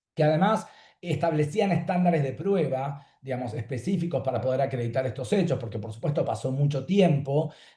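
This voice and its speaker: A man's fairly high, somewhat breathy voice with a dark, mellow tone, lively intonation and a fairly quick pace. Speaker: law professor. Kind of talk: panel talk. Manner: fast; clear.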